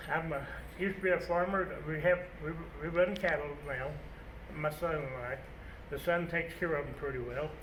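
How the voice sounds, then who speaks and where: The speech moves at a fairly quick pace with fairly even intonation, broken by long, frequent pauses. Noticeable background noise and audible room echo fill the recording. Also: man, fairly high pitch for a man. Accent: US Plains. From Colorado. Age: 70s. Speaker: retired farmer and rancher. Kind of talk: casual interview. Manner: halting.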